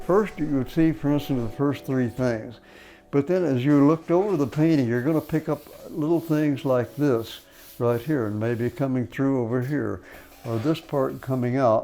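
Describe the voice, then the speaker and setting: Ordinary pitch variation runs through a voice with a dark, mellow tone. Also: man, fairly high pitch for a man, moderate pace. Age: 80s+. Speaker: painter. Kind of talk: documentary interview answer.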